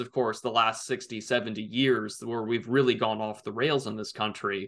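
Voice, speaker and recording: Against a quiet background, a man uses an ordinary speaking voice at a fairly quick pace, with ordinary pitch variation. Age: 20s. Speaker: political commentator. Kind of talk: casual interview.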